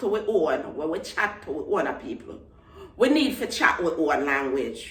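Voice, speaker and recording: A woman with a Jamaican accent speaks in very wide pitch swings over noticeable background noise. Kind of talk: casual vlog talk to camera.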